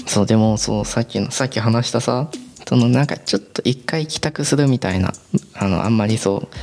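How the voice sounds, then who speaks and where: Over noticeable background noise, a man speaks at a fairly quick pace with a medium pitch and ordinary pitch variation. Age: 20s. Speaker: podcaster. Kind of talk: casual solo monologue. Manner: rambling, filler-heavy.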